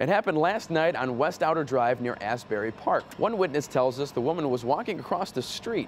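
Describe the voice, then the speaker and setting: Against light background noise, a man with an American accent talks at a fairly quick pace with very wide pitch swings. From United States. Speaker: TV news anchor. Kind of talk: TV news read. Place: studio. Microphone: lapel.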